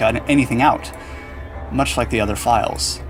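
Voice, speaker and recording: A man with a medium-pitched voice speaks in very wide pitch swings while music plays in the background. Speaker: gaming and animation YouTuber reading a story. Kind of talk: creepypasta horror story reading. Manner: calm, measured narration.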